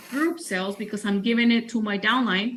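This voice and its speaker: Here a woman speaks in a high voice with ordinary pitch variation. Noticeable background noise runs behind her. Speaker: sales trainer. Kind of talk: training presentation.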